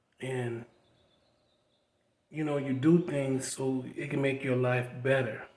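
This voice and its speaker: A man speaks at a very slow pace with long, frequent pauses. His intonation is monotone and flat. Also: medium pitch for a man. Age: 60s. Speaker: vlogger. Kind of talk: personal testimony. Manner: casual conversational.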